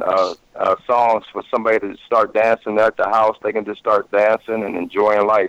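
A man's ordinary speaking voice, medium-pitched, with an American accent, at a moderate pace, in a dry, close sound with no echo. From Ohio, US. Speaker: musician. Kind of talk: interview.

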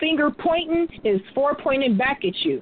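A woman with a high voice and very wide pitch swings at a fairly slow pace, over noticeable background noise. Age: 30s. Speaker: poet and musician. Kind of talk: interview. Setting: phone call.

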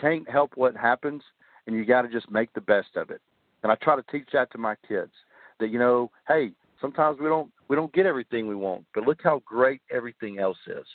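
A man with an American accent talks at a fairly quick pace in a medium pitch with ordinary pitch variation. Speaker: army veteran and author. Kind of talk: interview.

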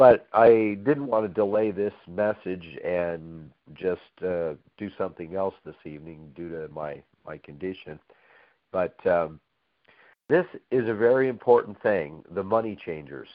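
With a very deep, low pitch, a man speaks at a fairly slow pace, his intonation lively and his loudness swinging widely. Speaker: preacher. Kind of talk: sermon. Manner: halting.

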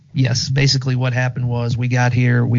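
A man speaks in a monotone with flat intonation. There is noticeable background noise. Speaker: guest co-host. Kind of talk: casual chat.

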